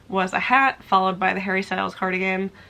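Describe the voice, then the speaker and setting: A woman speaks at a moderate pace. Her voice sits at a medium pitch. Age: 20s. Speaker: crochet and knitting YouTuber. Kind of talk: casual vlog talk to camera. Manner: animated.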